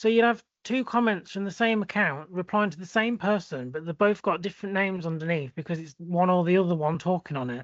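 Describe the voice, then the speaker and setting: A high-pitched man with an English accent, fairly quick in pace, hardly any pauses, ordinary pitch variation. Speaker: podcast co-host. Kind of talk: casual chat.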